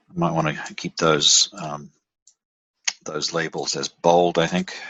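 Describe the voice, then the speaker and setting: Speaking at a fairly slow pace, a man with an Australian accent has a very deep, low pitch and monotone, flat intonation. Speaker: software platform presenter. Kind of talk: screen-share tutorial. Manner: halting, many fillers and restarts.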